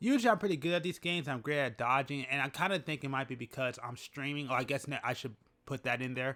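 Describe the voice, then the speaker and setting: The man's tone is bright and sharp. He speaks at a very fast pace. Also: fairly high pitch for a man, ordinary pitch variation, very clean recording, silent background. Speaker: gaming YouTuber. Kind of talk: casual commentary.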